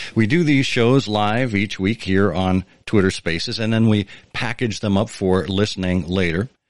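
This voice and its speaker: In a plain, everyday voice, a man talks at a moderate pace with a fairly low pitch and ordinary pitch variation, recorded with a dry, close sound with no echo against a quiet background. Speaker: podcast host. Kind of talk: interview conversation with scripted intro. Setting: live online audio room with listeners.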